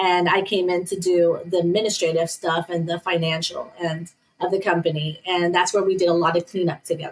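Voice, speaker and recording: A woman with a Northern US accent talks at a fairly quick pace, hardly pausing, at a fairly low pitch. Her intonation is monotone and flat, and her loudness stays very even. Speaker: business owner. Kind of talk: interview.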